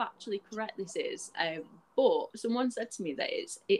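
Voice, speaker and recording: A woman talks at a moderate pace with a Scottish accent. Her pitch swings very widely. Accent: picking up a Scottish. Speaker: podcast host. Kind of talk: casual chat.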